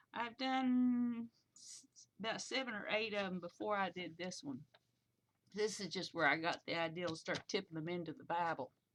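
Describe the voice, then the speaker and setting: Her loudness swinging widely, a woman speaks at a moderate pace and medium pitch with lively intonation. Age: 60s. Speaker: Bible journaling vlogger. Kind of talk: casual chat. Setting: webcam recording at home. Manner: halting.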